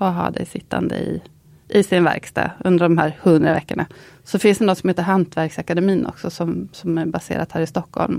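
A woman speaks with vocal fry at a fairly low pitch, her intonation fairly even. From Östergötland, Linköping. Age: 50s. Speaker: goldsmith. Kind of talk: casual interview.

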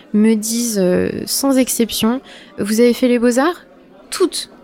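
A woman takes her time, talking fairly slowly while noticeable background noise carries on around her. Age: 20s. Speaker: visual artist. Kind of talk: casual interview. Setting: studio set up as a bar.

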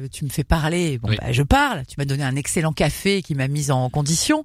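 With hardly any pauses, a woman speaks at a very deep, low pitch with ordinary pitch variation. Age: 40s. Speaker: radio host. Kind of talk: casual chat.

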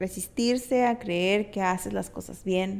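In an unremarkable speaking voice, a woman talks at a fairly slow pace with ordinary pitch variation. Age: 30s. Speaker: podcast host. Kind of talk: personal monologue.

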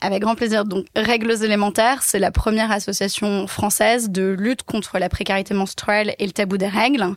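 A woman's medium-pitched, monotone, flat delivery at a moderate pace, with very even loudness and hardly any pauses. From Paris, France. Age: 20s. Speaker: social entrepreneur. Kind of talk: interview conversation. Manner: hesitant, many fillers.

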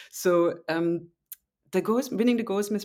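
A very clean recording with a silent background captures a woman with a German accent speaking at a moderate pace with ordinary pitch variation. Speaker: novelist. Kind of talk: interview. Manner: halting.

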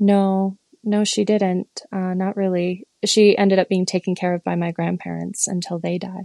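A woman with an American accent speaks at a moderate pace and medium pitch in a dark, mellow tone, her intonation monotone and flat, the sound dry and close with no echo. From Michigan. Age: 40s. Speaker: listener sharing personal story. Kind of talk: interview.

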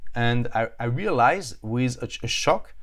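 A man with a strong French accent, medium pitch and lively intonation on a very clean recording with a silent background. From France. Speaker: author and entrepreneur. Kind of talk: casual interview. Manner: halting.

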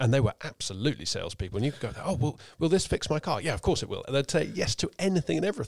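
Recorded very cleanly against a silent background, with a dry, close sound and no echo, a man talks at a very fast pace in a fairly high pitch, using very wide pitch swings and vocal fry. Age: 30s. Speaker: podcast host. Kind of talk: casual chat. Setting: studio.

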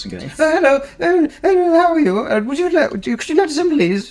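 A put-on character voice speaks at a high pitch and a very slow pace. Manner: polite.

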